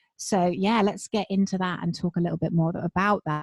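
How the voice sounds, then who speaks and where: With a British accent, a woman of medium pitch speaks fairly quickly and somewhat breathily, using ordinary pitch variation in a dry, close sound with no echo. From England. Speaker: spiritual business coach. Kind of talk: casual interview.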